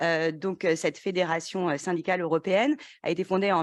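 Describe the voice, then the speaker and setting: Someone speaks at a fairly quick pace over a quiet background. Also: woman. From France. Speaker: panel moderator. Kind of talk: conference panel moderation. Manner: hesitant, many filler sounds.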